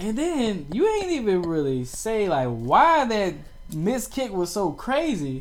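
Over noticeable background noise and audible room echo, a man talks very slowly in a high voice with very wide pitch swings. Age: 30s. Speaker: podcast host. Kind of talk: casual chat. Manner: animated.

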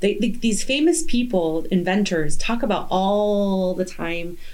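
A woman with an ordinary speaking voice talks at a fairly slow pace and medium pitch. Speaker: podcast host. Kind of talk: casual interview chat.

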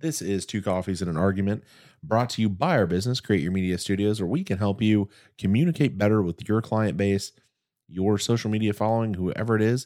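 In a normal speaking voice, a man goes at a fairly quick pace, his pitch fairly low with ordinary pitch variation. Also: very clean recording, silent background. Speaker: podcast co-host. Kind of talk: casual chat.

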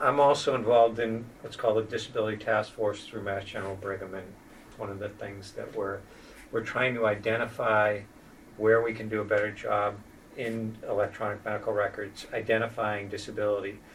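A man speaks fairly quickly in a somewhat breathy voice at a fairly low pitch. His intonation is monotone and flat, while his loudness swings widely. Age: 50s. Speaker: spinal cord injury program manager and wheelchair user. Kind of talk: interview conversation.

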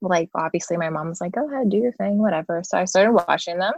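A woman at medium pitch talks with ordinary pitch variation in a plain, everyday voice, recorded dry and close with no echo. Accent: American. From Philadelphia area, US. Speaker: music photographer. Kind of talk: casual chat.

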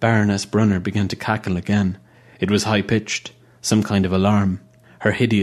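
The clip features a natural reading voice.

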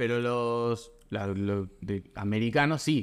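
A man speaks at a medium pitch with a Rioplatense accent. His pace is very slow, and the recording is very clean with a silent background. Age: 20s. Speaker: podcast host. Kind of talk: interview.

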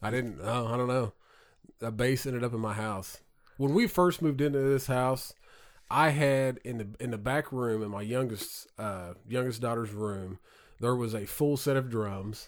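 This man speaks at a medium pitch and a moderate pace with a slight Southern accent. His pitch varies in an ordinary way, and the recording is very clean with a silent background. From southern Indiana. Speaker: podcast host. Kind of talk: casual chat. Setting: studio.

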